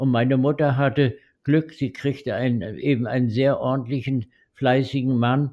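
This man's voice has a dark, mellow tone with fairly even intonation and very even loudness. The background is quiet. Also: medium pitch for a man, moderate pace. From Mecklenburg-Western Pomerania, northern Germany. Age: 80s+. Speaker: retired-age veterinarian, grandfather. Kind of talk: oral history interview. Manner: hesitant, with frequent fillers.

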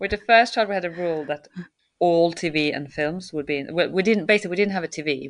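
Lively intonation and a fairly quick pace mark this voice with a Swedish accent. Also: woman. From Sweden. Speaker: circus choreographer and director. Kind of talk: interview conversation.

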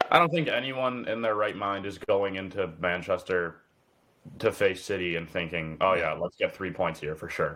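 A bright, sharp tone with ordinary pitch variation at a moderate pace. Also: man, fairly low pitch for a man. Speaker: podcast co-host. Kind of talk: casual chat.

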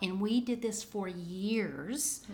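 A woman's medium-pitched voice in a Southern US accent. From US South. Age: 50s. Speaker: veteran homeschool mom. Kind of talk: casual interview chat.

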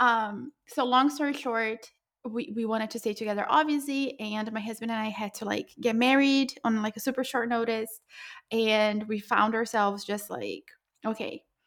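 A woman's normal speaking voice at a fairly high pitch, with fairly even intonation and a moderate pace. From Brazil, moved to US at 14. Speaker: entrepreneur. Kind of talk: interview. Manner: casual, frequent fillers.

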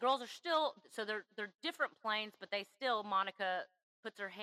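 With a quiet background, an unforced reading voice shows ordinary pitch variation.

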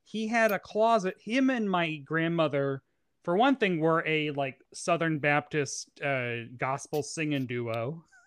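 A man with a plain, everyday voice speaks fairly slowly at a fairly high pitch with lively intonation, his sound dry and close with no echo against a quiet background. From US South, Tennessee. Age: 30s. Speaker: pop culture journalist and drag performer. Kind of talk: casual chat.

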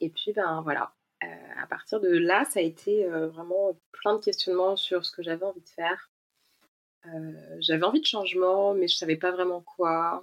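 At a fairly slow pace, a woman talks in an unremarkable speaking voice. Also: medium pitch for a woman, fairly even intonation. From France, Ain near Lyon. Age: 30s. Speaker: expatriate guest. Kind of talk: casual chat.

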